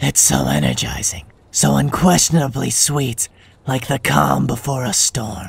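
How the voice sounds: The speaker uses a put-on character voice with a husky, rough edge and vocal fry. The pace is fairly slow, with big pitch swings. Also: man, medium pitch for a man.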